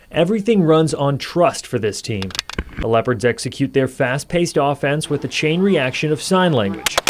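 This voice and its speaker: Moderately paced male speech, fairly high in pitch, with noticeable background noise. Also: lively intonation. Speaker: TV news reporter. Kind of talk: TV news report.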